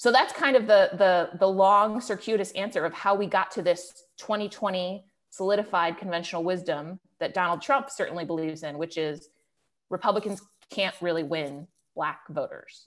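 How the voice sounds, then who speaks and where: Speaking at a moderate pace, a woman with an American accent shows ordinary pitch variation. The background is quiet. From Cleveland, Ohio; Ohio. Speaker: political journalist. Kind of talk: webinar interview. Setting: online webinar. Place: home room. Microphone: earbuds.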